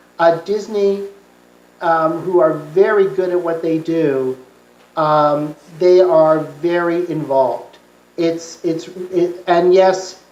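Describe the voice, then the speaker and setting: A woman with a fairly low pitch is heard with audible room echo. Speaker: conference speaker, TV producer. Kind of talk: Q&A answer at academic conference. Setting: conference talk with audience. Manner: halting, many fillers.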